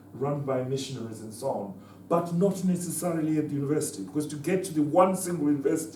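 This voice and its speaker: A man talks very fast in a fairly high voice with ordinary pitch variation. The recording has audible room echo and noticeable background noise. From Zimbabwe (Southern Rhodesia). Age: 70s. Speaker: former liberation fighter. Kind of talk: conference talk. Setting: conference with student audience. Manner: halting, with repetitions.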